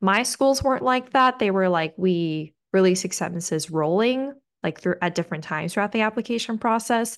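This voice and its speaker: A woman with a normal speaking voice and medium pitch talks at a fairly quick pace with lively intonation over a quiet background. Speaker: podcast host, pre-med student. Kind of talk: casual chat.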